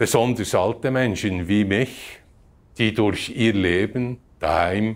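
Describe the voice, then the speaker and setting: On a very clean recording with a silent background, a man talks at a very slow pace and fairly low pitch with ordinary pitch variation. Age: 80s+. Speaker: church member giving testimony. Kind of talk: testimony.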